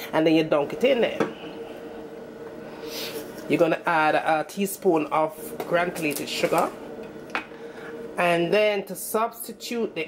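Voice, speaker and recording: A woman with a Jamaican accent speaks at a fairly slow pace and a fairly low pitch, with ordinary pitch variation. Long, frequent pauses break up her speech, and background noise is noticeable. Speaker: home cook, cooking channel host. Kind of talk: casual cooking tutorial to camera.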